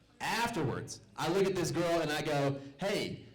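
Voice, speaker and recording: With an American accent, a man talks in a room with audible echo and noticeable background noise. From US South, Little Rock, Arkansas. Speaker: stand-up comedian, military servicemember. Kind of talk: stand-up. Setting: stage with audience.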